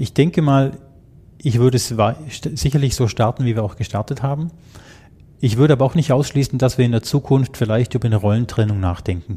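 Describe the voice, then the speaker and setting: Talking at a very fast pace yet with long, frequent pauses, a man uses a medium pitch, ordinary pitch variation and a dark, mellow tone that is somewhat breathy. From Germany. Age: 50s. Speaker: IT security manager. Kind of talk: interview.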